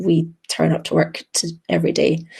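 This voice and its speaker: A woman with a Scottish accent. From Scotland. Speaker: emergency medicine doctor. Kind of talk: webinar presentation. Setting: video call webinar. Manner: hesitant, many filler ums.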